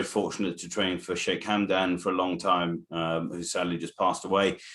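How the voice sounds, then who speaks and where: With an English accent, a man speaks in a very deep, low pitch at a moderate pace, hardly pausing at all. His intonation is monotone and flat, and the recording is very clean with a silent background. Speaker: racehorse trainer. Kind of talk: interview.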